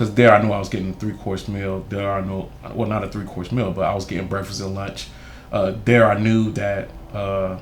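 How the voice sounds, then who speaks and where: In audible room echo, a man at a fairly low pitch talks at a moderate pace with monotone, flat intonation. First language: Haitian Creole. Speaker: youth mentor and school board candidate. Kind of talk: interview testimony.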